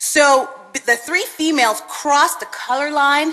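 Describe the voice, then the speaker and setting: A woman speaks in a raised, projected voice at a high pitch. Her pace is fairly slow. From Canada (Winnipeg), born in Jamaica. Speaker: police sergeant, mentor speaker. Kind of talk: speech to audience. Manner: halting.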